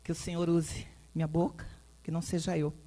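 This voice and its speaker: A woman talks at a moderate pace in a very deep, low pitch. Her voice is somewhat breathy, with a dark, mellow tone. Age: 60s. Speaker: pastor. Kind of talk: testimony.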